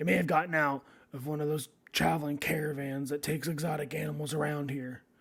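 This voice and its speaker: A man's put-on character voice, fairly high in pitch, at a very fast pace. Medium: actual play. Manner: brusque.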